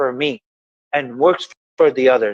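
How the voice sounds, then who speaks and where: With an Ecuadorian accent, a man talks in very wide pitch swings, the sound dry and close with no echo. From Ecuador (Guayaquil). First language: Spanish. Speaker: motivational podcast host. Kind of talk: casual conversation. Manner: halting.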